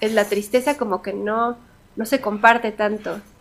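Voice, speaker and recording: A woman with a fairly high voice speaks at a moderate pace in a flat, monotone delivery. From Mexico. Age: 30s. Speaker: singer. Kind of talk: interview.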